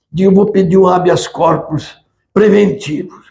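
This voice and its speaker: With audible room echo, a man speaks at a fairly slow pace and a high pitch in a dark, mellow tone. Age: 80s+. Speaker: history professor, retired military. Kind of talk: lecture. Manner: halting.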